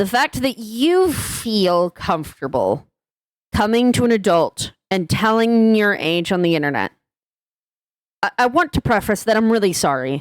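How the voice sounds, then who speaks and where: Recorded very cleanly against a silent background, in a dry, close sound with no echo, a woman with a fairly high pitch speaks at a fairly slow pace, her pitch swinging very widely while her loudness stays very even. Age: 20s. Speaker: YouTuber. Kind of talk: vent video commentary.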